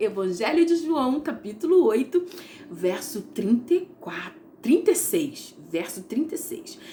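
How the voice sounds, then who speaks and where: With noticeable background noise behind her, a woman speaks at a fairly slow pace in a warm tone, her pitch swinging very widely. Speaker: Bible teacher. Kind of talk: devotional Bible teaching. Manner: warm, conversational.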